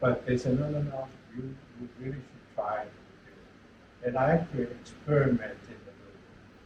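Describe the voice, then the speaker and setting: A man at a medium pitch and moderate pace, with audible room echo. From China. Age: 80s+. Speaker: retired engineering professor. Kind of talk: lecture. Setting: lecture hall with audience.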